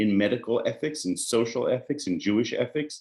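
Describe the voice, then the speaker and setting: With an American accent, a man speaks fairly quickly over a quiet background. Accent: American-sounding. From Israel, Jerusalem. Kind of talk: lecture.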